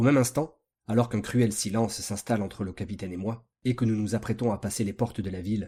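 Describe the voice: Plain reading aloud plays out against a quiet background.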